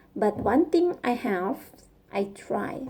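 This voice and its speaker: A woman speaks very slowly in a Thai accent. Her fairly high pitch moves in very wide swings. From Thailand. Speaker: vlogger and coder learning English. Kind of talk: casual personal vlog monologue. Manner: halting, searching for words.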